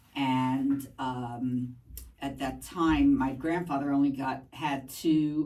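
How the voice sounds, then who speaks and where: A woman with a Spanish accent speaks in a very deep, low voice with a dark, mellow tone and fairly even intonation. There is audible room echo. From New York, Brooklyn. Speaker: math teacher. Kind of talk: podcast interview. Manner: hesitant, many fillers.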